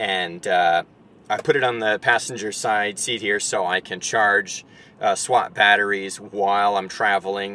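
A man talks with a fairly low pitch and a bright, sharp tone. The sound is dry with no echo. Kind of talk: casual vlog tutorial. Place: car. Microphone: camera far.

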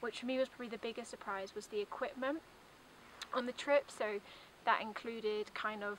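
The sound is dry with no echo, with light background noise. A woman talks at a fairly quick pace with fairly even intonation. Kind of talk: testimonial talk to camera. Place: open country.

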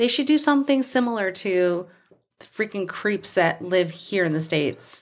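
Pitch swings very widely in this woman's voice. She speaks at a fairly slow pace. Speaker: true crime podcast co-host. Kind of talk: casual chat. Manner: laughs and jokes often.

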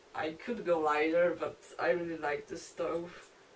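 At a fairly slow pace, a woman with a Polish accent talks in a fairly low voice over light background noise. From Poland. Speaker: long-distance hiker. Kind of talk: gear review tutorial. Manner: halting. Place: home room. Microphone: camera far.

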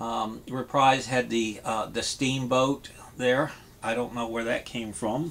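Slow to a crawl, a man speaks in a monotone with flat intonation. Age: 60s. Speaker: vinyl record collector YouTuber. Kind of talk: casual vlog monologue. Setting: home vinyl room. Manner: hesitant, many fillers. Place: home room. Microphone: webcam.

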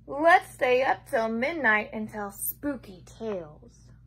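At a very slow pace, a woman speaks. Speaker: preschool teacher. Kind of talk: children's picture-book story reading, bedtime story style, aimed at preschoolers. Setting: home video recording. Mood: playful, expressive. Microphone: phone near.

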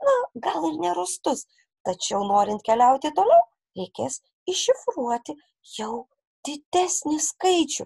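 Long, frequent pauses break up this woman's fairly slow speech, and her high pitch swings very widely. Her tone is dark and mellow, and the sound is dry and close with no echo. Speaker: primary school teacher. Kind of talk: recorded lesson for children. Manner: slow and clear, instructive.

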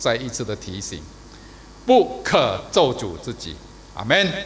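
Over light background noise, a man speaks at a fairly slow pace with long, frequent pauses and big swings in loudness. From Malaysia. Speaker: preacher. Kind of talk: sermon. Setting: church service video. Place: church. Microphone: podium.

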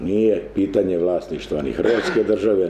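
Light background noise and audible room echo around a man's moderately paced speech. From Croatia, Kutina; Croatia. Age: 60s. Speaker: trade union leader. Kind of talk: conference talk. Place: meeting room. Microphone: camera far.

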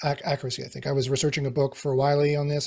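A man's fairly high, somewhat breathy voice moves at a very fast pace. The background is quiet. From Canadian Prairies (Winnipeg). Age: 40s. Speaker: AI expert. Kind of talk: interview. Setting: video call. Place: home room.

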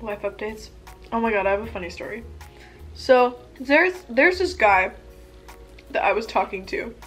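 Faint music plays in the background as a woman speaks at a moderate pace with big swings in loudness. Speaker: vlogger. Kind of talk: casual vlog chat while eating. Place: home room. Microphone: camera far.

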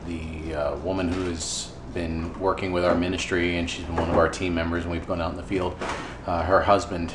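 A man speaks at a fairly quick pace. Noticeable background noise sits behind his voice. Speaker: ministry volunteer vlogger. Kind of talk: casual vlog chat. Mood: somber, reflective. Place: kitchen. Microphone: phone near.

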